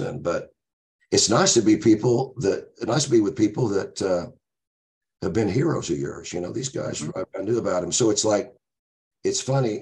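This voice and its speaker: Somewhat breathy, a man with an American accent talks at a fairly quick pace with ordinary pitch variation. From Oklahoma, Tulsa. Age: 60s. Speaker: blues musician. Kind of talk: casual interview storytelling. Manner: energetic, animated.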